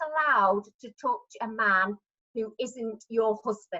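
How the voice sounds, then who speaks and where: At a fairly slow pace, a woman with an English accent speaks in a bright, sharp tone with lively intonation. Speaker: retired midwife and choir member. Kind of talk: storytelling at online party. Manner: halting, many fillers.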